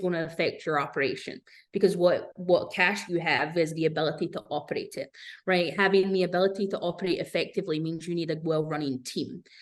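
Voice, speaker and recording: Against a quiet background, a woman with a British accent speaks at a fairly quick pace. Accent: British-sounding. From Scotland, Glasgow. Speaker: business owner, fractional executive consultant. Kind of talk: podcast interview.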